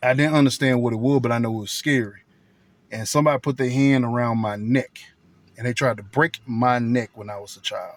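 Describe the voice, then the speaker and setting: Loudness swings widely as a man speaks fairly quickly. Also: medium pitch for a man, fairly even intonation. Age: 40s. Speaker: vlogger. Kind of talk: casual monologue vlog.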